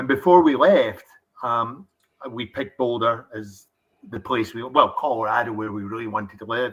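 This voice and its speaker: A man with a Scottish accent at a moderate pace, his intonation fairly even. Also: medium pitch for a man, big swings in loudness. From Scotland. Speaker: distillery founder. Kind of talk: interview.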